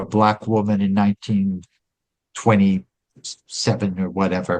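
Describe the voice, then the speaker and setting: A man's fairly low voice with lively intonation. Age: 60s. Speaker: author and music historian. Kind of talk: interview conversation. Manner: conversational, hesitant fillers.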